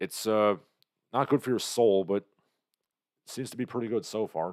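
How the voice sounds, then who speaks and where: A man with an ordinary speaking voice talks at a moderate pace, fairly low in pitch with ordinary pitch variation and big swings in loudness. The recording is very clean with a silent background and a dry, close sound with no echo. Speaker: livestream host. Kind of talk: casual livestream chat.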